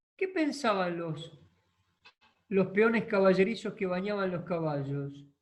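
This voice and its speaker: A man with a high voice speaks at a fairly slow pace, with long, frequent pauses. His pitch varies in an ordinary way. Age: 60s. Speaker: equine therapy and social organization expert. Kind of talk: online masterclass talk.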